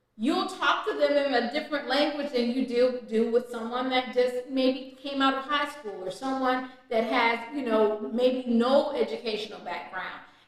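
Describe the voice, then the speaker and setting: A loud, animated woman's voice at a high pitch with hardly any pauses, amid noticeable background noise and audible room echo. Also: ordinary pitch variation, moderate pace. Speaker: author coach and editor. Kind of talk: video tutorial.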